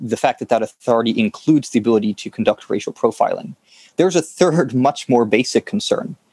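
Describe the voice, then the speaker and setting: This is a plain, everyday voice at a fairly quick pace. The sound is dry and close with no echo. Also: man. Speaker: director of operations at an online publication. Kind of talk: scripted narration.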